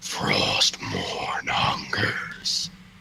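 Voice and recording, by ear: A raspy, put-on character voice.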